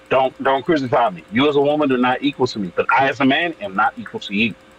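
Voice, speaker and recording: A man talking at a very fast clip with lively intonation, music playing behind him. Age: 30s. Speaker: wrestler and actor. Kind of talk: casual chat. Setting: live stream panel.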